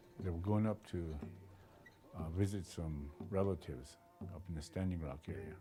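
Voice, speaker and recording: A man speaks at a very deep, low pitch with a dark, mellow tone. His voice is somewhat breathy, with ordinary pitch variation. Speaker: oral historian, family storyteller. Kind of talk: oral history telling to camera.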